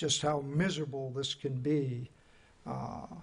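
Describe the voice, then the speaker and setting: At a very slow pace, the speaker's voice comes across as somewhat breathy. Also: man. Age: 60s. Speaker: city commissioner. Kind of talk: public meeting discussion. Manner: halting.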